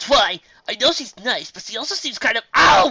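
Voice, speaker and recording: A put-on character voice, raised and projected, at a moderate pace. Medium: read story. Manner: sarcastic, grumbling.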